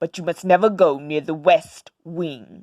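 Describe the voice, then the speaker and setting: This is a put-on character voice, gruff and middle in pitch. The pace is moderate. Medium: read story. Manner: roaring, gruff.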